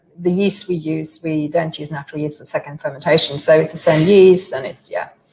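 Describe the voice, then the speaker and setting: A woman's very deep, low voice, fairly even in intonation, with big swings in loudness and a fairly quick pace. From Norway, west coast. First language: Norwegian. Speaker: organic winemaker and vineyard founder. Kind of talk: interview conversation. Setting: online event, video call.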